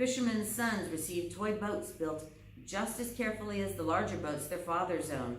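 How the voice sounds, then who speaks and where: Over noticeable background noise and audible room echo, a woman with a fairly low pitch talks at a moderate pace, her voice making very wide pitch swings. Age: 60s. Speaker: librarian reading to children. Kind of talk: casual chat; reading aloud.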